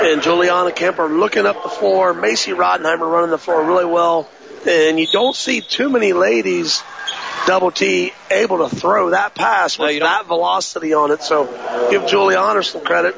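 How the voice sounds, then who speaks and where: A man's high-pitched voice with very wide pitch swings at a moderate pace, amid noticeable background noise. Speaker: color commentator, coach. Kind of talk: live sports commentary, analysis. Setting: gym broadcast, courtside. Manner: conversational, analytical, measured.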